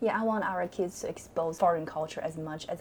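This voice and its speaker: The speaker has a Chinese accent, with music playing in the background. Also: woman. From China. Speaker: teacher, club sponsor. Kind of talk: interview. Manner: halting.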